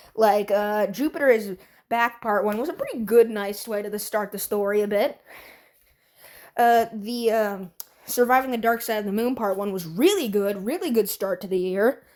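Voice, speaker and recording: A woman's fairly high voice in a bored tone, at a moderate pace with ordinary pitch variation, on a very clean recording with a silent background. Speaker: YouTube animation reviewer. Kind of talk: video review commentary. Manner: bored-sounding; halting.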